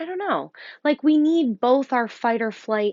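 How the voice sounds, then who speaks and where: A woman in a Rochester accent, with very wide pitch swings. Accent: Rochester NY. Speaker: yoga teacher. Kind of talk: guided breathwork instruction. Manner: hesitant, many ums; calm, soothing.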